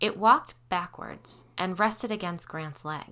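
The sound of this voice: Pitch moves in an ordinary way here. The delivery is an unforced reading voice.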